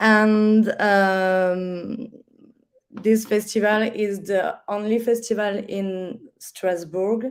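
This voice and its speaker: A woman with a French accent at a very slow pace, her intonation fairly even. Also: medium pitch for a woman. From France. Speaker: festival artistic director. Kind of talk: online panel discussion. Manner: halting.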